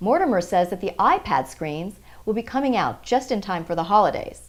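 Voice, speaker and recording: A woman at a medium pitch with vocal fry, very wide pitch swings, and a fairly quick pace on a very clean recording with a silent background. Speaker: TV reporter. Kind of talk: news stand-up delivery on business and art stories.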